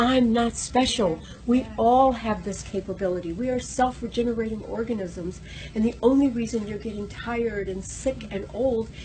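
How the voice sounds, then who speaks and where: Noticeable background noise sits under a woman's voice. She has a fairly high pitch and talks at a moderate pace. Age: 60s. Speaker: raw food advocate. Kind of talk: interview. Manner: animated.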